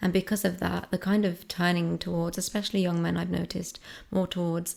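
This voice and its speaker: A soft-spoken woman with a fairly low pitch is heard on a very clean recording with a silent background. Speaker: ASMR creator. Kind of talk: soft-spoken discussion ramble.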